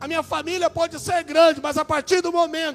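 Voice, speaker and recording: With a Minas Gerais accent, a man speaks at an extremely high pitch. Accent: mineiro. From Brazil, Minas Gerais. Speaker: preacher. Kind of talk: sermon.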